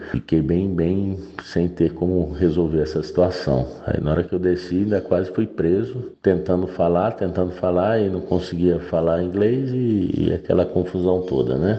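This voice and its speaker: Hardly pausing at all, a man with a very deep, low pitch speaks at a moderate pace, with very even loudness and ordinary pitch variation. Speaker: listener sharing a story. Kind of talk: voice message storytelling.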